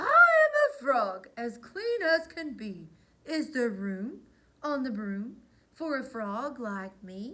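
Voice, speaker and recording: A croaky, raised and projected put-on character voice at a very slow pace. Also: woman, high pitch for a woman. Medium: read story.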